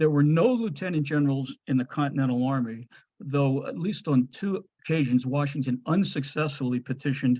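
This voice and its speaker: A man at a fairly high pitch, dark, mellow tone and fairly quick pace, over a quiet background. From New Jersey. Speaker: historian. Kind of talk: lecture. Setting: video call. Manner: fast.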